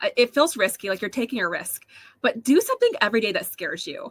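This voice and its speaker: A woman projects a raised, high-pitched voice with lively intonation, recorded dry and close with no echo. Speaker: online seller and podcaster. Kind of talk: live interview.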